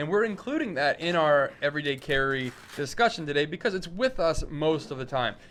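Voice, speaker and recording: A man talks with a normal speaking voice at a fairly high pitch. His pitch variation is ordinary. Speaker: podcast host. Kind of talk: casual chat. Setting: live show.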